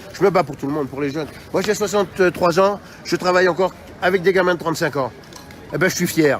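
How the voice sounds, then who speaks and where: A man's high, animated voice at a very fast pace with long, frequent pauses and ordinary pitch variation, over noticeable background noise. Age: 60s. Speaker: protester. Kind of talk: street interview.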